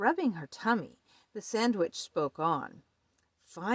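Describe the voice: Against a quiet background, the text comes in plain reading aloud with lively intonation.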